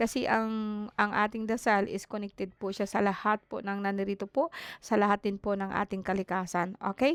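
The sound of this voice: A woman speaks at a medium pitch with fairly even intonation. Her tone is clear and smooth. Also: moderate pace.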